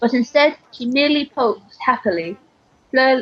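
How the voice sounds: A woman with a high pitch speaks at a moderate pace, her intonation lively.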